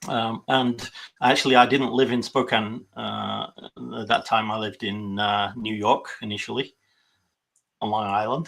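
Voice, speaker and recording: Vocal fry runs through this man's medium-pitched voice. He keeps a moderate pace and fairly even intonation, with long, frequent pauses. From UK. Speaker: political party volunteer. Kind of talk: interview. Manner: halting, many fillers.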